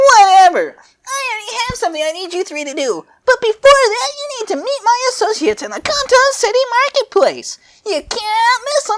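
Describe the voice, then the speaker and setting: A squeaky put-on character voice at an extremely high pitch and a moderate pace. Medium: read story. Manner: impatient, bossy.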